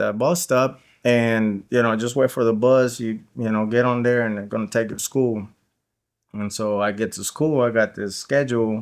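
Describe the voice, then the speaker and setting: On a very clean recording with a silent background, a man with a Spanish accent speaks at a moderate pace with fairly even intonation. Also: medium pitch for a man. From Guatemala. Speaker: interview guest sharing life story. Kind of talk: podcast interview, personal testimony. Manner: casual, many fillers and repetitions.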